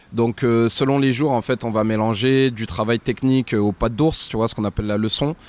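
A plain, everyday voice from a man at medium pitch, fairly quick and fairly even in intonation, with a dry, close sound and no echo. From France. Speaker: professional boxer. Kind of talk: casual chat.

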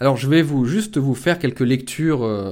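At a fairly slow pace, a man talks in a normal speaking voice with ordinary pitch variation. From rural France. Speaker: political commentator and author. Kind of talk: monologue book review.

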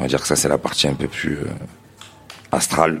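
A man is talking. Noticeable background noise runs behind him. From Marseille, France. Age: 30s. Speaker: DJ collective co-founder. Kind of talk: live podcast interview. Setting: stage with live audience.

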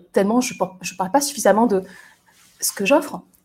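At a fairly quick pace, a woman speaks in a dark, mellow tone that is somewhat breathy. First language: not French (speaking French). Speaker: resilience coach and podcaster. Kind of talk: solo monologue. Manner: halting, with many hesitations.

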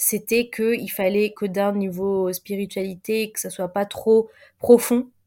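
A woman's medium-pitched, dark and mellow voice, very slow and monotone, with big swings in loudness. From Paris suburbs, France. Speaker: content creator and diversity consultant. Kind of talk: interview conversation. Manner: hesitant, many fillers.

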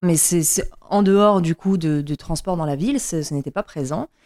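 Speaking at a fairly slow pace, a woman has a dark, mellow tone, a fairly low pitch and ordinary pitch variation. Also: very clean recording, silent background. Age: 30s. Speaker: bike traveler. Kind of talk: casual chat. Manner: halting.

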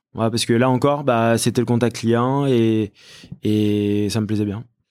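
This man talks at a very slow pace in a medium pitch. The recording is very clean, with a silent background. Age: 30s. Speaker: company executive. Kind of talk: interview. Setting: company office. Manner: hesitant, many fillers and repetitions.

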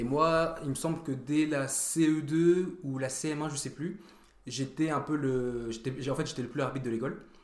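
Audible room echo surrounds a man's fairly high voice. He speaks at a fairly slow pace with fairly even intonation. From France, Vosges/Nancy area, early childhood in Germany. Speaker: track and field athlete. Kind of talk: casual chat.

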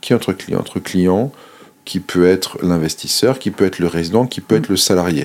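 His tone is dark and mellow. The man's pitch moves with ordinary variation. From Monaco. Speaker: government digital official. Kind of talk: interview.

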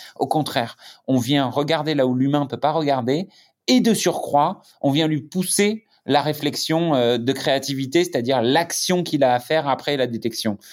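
The recording is very clean, with a silent background. A man with a fairly high pitch talks at a moderate pace, his pitch varying in an ordinary way. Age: 30s. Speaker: tech startup founder. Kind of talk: interview. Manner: hesitant, many fillers and repetitions.

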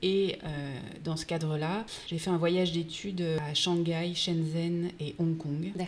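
Speaking very slowly, a woman keeps a fairly low pitch and a flat, monotone delivery. Audible room echo and noticeable background noise fill the recording. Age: 40s. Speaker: entrepreneur. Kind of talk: interview.

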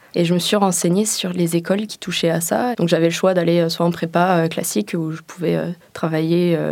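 Noticeable background noise sits behind a woman's voice. She has a fairly low pitch and keeps a moderate pace. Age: 20s. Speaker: engineering student. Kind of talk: interview testimony.

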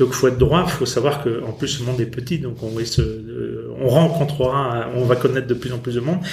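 Over noticeable background noise, a man talks at a moderate pace in a medium-pitched voice. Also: fairly even intonation. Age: 50s. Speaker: company founder. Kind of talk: interview. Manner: halting.

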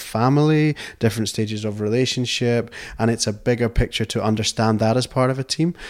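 A man with a Scottish accent talks at a fairly quick pace. His medium-pitched voice is heard in a very clean recording with a silent background. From Scotland, outside the Borders. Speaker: company director. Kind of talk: interview. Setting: tweed mill.

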